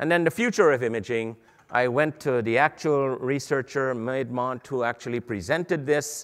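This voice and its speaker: This voice has a Guyanese accent and moves at a fairly quick pace. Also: man. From Guyana. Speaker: medical imaging educator. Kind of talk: lecture. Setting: stage with audience at a conference.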